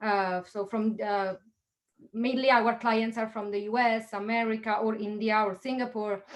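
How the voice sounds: At a moderate pace, a woman speaks with a fairly high pitch and fairly even intonation.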